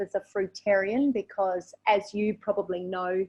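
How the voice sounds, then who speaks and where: The speaker is a woman with an Australian accent. She talks at a fairly slow pace. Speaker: raw vegan and English teacher. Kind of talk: interview.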